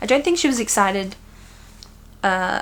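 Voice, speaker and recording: This woman speaks with an Australian accent. Her pitch is medium, with ordinary variation. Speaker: knitting podcaster. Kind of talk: casual chat. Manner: animated.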